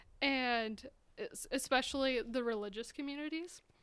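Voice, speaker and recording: Speaking in a raised, projected voice, a woman with an American accent talks at a high pitch. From Utah. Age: 20s. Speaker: artist. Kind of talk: interview.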